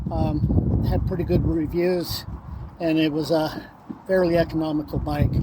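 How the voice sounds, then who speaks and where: Through audible room echo and noticeable background noise, a man with a fairly high pitch speaks in a flat monotone. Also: fairly slow pace. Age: 60s. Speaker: cyclist on cross-country ride. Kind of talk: casual interview. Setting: outdoors on a trail.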